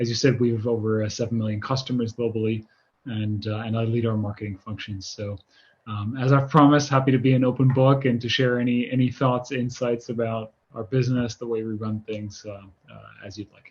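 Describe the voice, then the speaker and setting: A man in an American accent talks at a fairly quick pace, his voice somewhat breathy. His intonation is flat and monotone while his loudness swings widely. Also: medium pitch for a man. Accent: sounds American. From Netherlands/Germany, lived in many countries. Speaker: marketing executive. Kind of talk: interview. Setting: video call. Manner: many filler words and repetitions.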